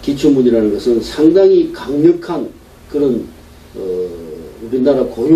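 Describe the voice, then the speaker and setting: A man talks with noticeable background noise and audible room echo around him. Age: 60s. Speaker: pastor. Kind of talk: sermon.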